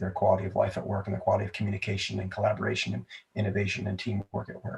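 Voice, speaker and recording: Somewhat breathy and fairly low in pitch, a man talks with an American accent. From United States, mixed regions. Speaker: comedy entrepreneur. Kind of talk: podcast interview.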